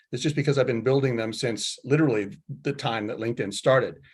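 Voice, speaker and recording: A man with an American accent speaks at a fairly high pitch, somewhat breathy. His intonation stays fairly even over a quiet background. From California, Silicon Valley. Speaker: tech executive. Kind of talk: panel discussion. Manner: halting.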